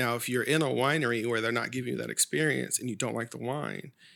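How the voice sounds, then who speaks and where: On a very clean recording with a silent background, a man talks at a very fast pace in a bright, sharp tone with vocal fry. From Sacramento, California. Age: 30s. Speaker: wine educator. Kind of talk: casual chat.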